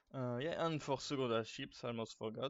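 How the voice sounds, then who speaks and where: The man speaks with a French accent. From France. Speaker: gaming guide creator. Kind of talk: casual gaming tutorial talk.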